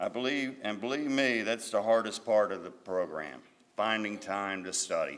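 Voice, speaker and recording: A man's unremarkable speaking voice, medium in pitch, at a moderate speed. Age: 60s. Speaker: GED graduate. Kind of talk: graduation speech.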